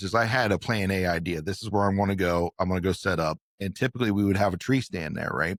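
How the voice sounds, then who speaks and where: Hardly pausing, a man talks in an ordinary speaking voice at a fairly low pitch with ordinary pitch variation, in a dry, close sound with no echo. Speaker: podcast host. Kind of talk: casual podcast conversation.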